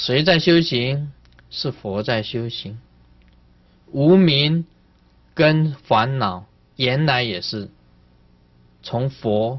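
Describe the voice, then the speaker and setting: Speaking at a very slow pace with long, frequent pauses, a man keeps his intonation lively. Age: old. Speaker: Buddhist master giving sutra teaching; Buddhist teacher. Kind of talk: dharma lecture. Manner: animated. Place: hall.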